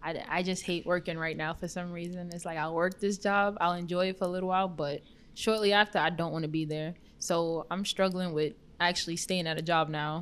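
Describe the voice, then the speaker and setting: A woman talks with an American accent at a fairly quick pace. Her fairly low pitch stays in a monotone, flat intonation. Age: 20s. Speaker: returning guest. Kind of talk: casual chat.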